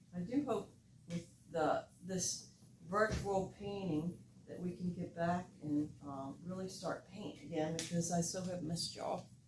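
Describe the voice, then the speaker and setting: With an American accent and a fairly low pitch, a woman speaks at a fairly slow pace amid noticeable background noise. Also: ordinary pitch variation. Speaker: art teacher. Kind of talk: painting tutorial. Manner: relaxed.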